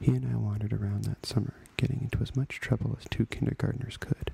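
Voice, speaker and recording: Whispering at a fairly quick pace, a man comes through over noticeable background noise. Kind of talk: ASMR memoir story reading. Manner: whispered.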